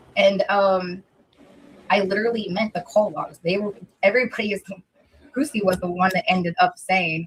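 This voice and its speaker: Moderate pace with long, frequent pauses. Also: woman. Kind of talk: casual chat.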